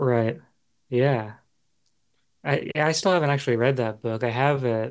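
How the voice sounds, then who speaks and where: At a moderate pace, a man talks with an ordinary speaking voice at a medium pitch. His pitch varies in an ordinary way, and his loudness stays very even. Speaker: podcast host. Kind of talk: casual interview.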